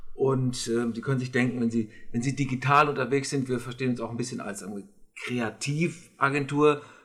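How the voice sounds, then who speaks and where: This man has a somewhat breathy voice at a medium pitch. He talks at a fairly quick pace with fairly even intonation. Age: 50s. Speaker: communications consultant. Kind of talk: interview. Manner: hesitant, many fillers.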